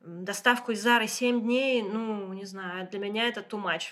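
Through noticeable background noise, a woman with a fairly high pitch speaks at a fairly slow pace, with ordinary pitch variation. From Moscow, Russia. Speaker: interior designer and community founder. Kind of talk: casual chat. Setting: guest's apartment.

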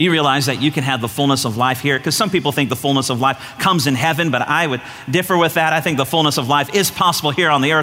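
A man talks at a very fast pace in a fairly high pitch, with ordinary pitch variation, hardly any pauses, very even loudness, and music playing in the background. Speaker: pastor. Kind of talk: sermon. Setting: church stage with congregation.

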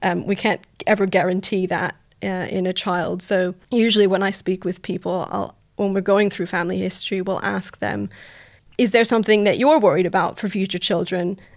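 A woman's medium-pitched voice with vocal fry, fairly even intonation and a moderate pace, on a very clean recording with a silent background. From Canada. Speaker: genetic counselor. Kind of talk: casual interview.

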